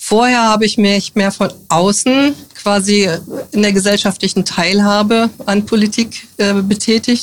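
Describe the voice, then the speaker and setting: At a fairly slow pace, a woman speaks in a plain, everyday voice at a medium pitch, her loudness very even throughout. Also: fairly even intonation. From northern Hesse, Germany. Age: 50s. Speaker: politician. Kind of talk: interview.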